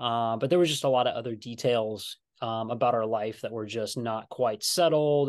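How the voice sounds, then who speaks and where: With a quiet background behind him, a man talks at a moderate pace and a medium pitch. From US Pacific Northwest, Washington. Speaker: pastor. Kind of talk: casual interview. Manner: loud.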